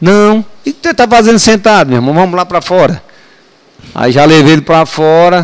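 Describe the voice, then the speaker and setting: A man with a high pitch and lively intonation, at a moderate pace with long, frequent pauses. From Brazil, Ceará; raised in Ceilândia, Brasília. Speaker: retired military police sergeant. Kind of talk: casual storytelling interview. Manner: animated.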